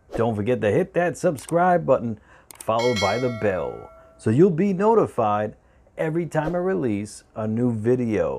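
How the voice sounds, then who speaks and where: A man talks at a moderate pace while music plays behind him. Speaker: cooking channel host. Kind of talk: casual vlog intro. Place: kitchen. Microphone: lapel.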